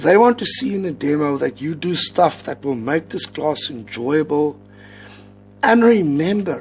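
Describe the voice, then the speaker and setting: This man speaks in an Afrikaans accent at a fairly slow pace. His pitch is fairly high and his intonation lively. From South Africa. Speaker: English teacher giving advice. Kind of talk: casual vlog tutorial. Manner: many fillers, hesitant.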